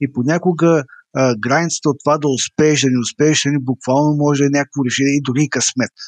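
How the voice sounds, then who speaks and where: This is a man with an ordinary speaking voice, fairly high in pitch and at very even loudness. He goes at a fairly quick pace with fairly even intonation. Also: dry, close sound with no echo. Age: 40s. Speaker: entrepreneur and author. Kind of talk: online interview.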